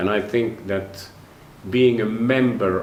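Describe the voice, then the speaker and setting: Noticeable background noise and audible room echo surround this recording. A man speaks at a fairly slow pace with fairly even intonation. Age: 60s. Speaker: orchestra conductor and conducting professor. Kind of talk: interview monologue. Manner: halting.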